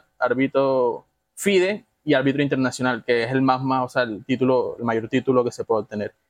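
With an unremarkable speaking voice, a man talks at a fairly quick pace and medium pitch in a dry, close sound with no echo. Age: 20s. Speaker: chess player and club member. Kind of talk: casual chat.

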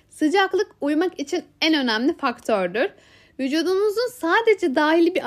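A woman talks at an extremely high pitch with very wide pitch swings and a moderate pace. The recording is very clean, with a silent background. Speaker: podcast host. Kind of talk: book summary narration.

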